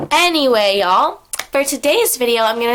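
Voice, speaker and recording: There is noticeable background noise behind this woman's voice. She talks at a moderate pace with ordinary pitch variation. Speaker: vlogger. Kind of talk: casual chat. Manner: chatty.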